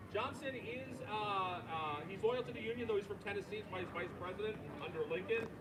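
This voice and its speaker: Talking at a fairly quick pace, a man with an American accent and a high pitch shows ordinary pitch variation, with noticeable background noise and audible room echo. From Long Island, New York. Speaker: park ranger. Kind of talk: public history talk to a tour group. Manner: animated.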